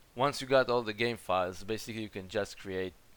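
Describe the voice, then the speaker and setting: The speaker has a non-native accent and a moderate pace. Intonation stays fairly even. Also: man. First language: not English. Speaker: gaming YouTuber. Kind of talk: game settings tutorial voice-over.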